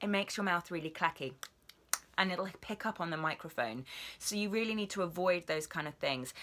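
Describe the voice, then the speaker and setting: In a British accent, a woman with a fairly low pitch speaks at a fairly quick pace in an upbeat tone. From England. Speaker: voice actor. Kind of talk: casual vlog talk to camera. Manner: chatty, upbeat.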